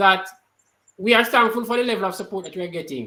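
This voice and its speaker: Raising and projecting his voice, a man speaks with a high pitch and a bright, sharp tone, with ordinary pitch variation. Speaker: party activist. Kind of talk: online talk show discussion.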